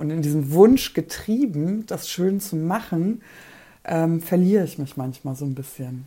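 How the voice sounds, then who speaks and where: With a dark, mellow tone and lively intonation, a woman speaks fairly slowly at a fairly low pitch. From Poland. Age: 30s. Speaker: breast cancer survivor and podcaster. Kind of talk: casual chat.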